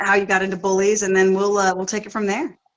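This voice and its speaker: This woman has a bright, sharp tone at a medium pitch. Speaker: podcast co-host. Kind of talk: casual interview chat. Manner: halting, many fillers.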